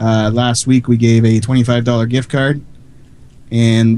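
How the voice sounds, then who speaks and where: In a slight French Canadian accent, a man speaks with a medium pitch and a dark, mellow tone, his intonation monotone and flat. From Quebec, Canada. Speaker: online radio DJ. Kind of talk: casual chat. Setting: live stream.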